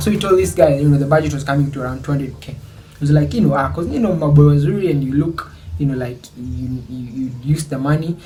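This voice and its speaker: A man talks at a very fast pace in a fairly high voice with lively intonation. Noticeable background noise and audible room echo surround him. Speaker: YouTuber. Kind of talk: storytelling vlog. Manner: casual, Swahili-English code-switching.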